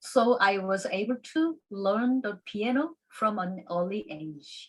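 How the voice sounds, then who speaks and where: Somewhat breathy and fairly high-pitched, a woman with a Korean accent talks at a very slow pace with lively intonation. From South Korea. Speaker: classical pianist and piano teacher. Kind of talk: conference presentation. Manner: halting.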